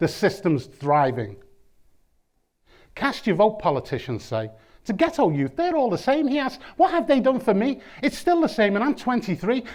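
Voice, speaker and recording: In a very clean recording with a silent background, a man with a high pitch speaks at a moderate pace, his pitch swinging very widely and long pauses coming often. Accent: Liverpool. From Liverpool, England. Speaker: performance poet. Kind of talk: spoken word poetry. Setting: lecture theatre with audience. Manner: rhythmic.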